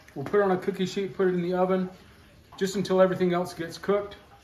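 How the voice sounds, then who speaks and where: With a relaxed tone and a high pitch, a man talks amid noticeable background noise and audible room echo. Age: 60s. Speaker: homesteader. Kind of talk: cooking tutorial. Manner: casual, relaxed with fillers.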